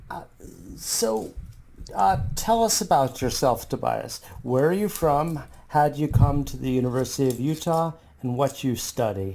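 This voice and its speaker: A man talks at a moderate pace in a normal speaking voice, fairly high in pitch with lively intonation. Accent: American. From US. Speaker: podcast host, professor. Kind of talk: podcast interview.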